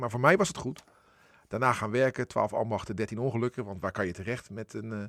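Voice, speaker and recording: A man's medium-pitched voice at a very fast pace, fairly even in intonation, on a very clean recording with a silent background. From Netherlands, Rotterdam. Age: 50s. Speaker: editor-in-chief of a regional broadcaster. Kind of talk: radio interview.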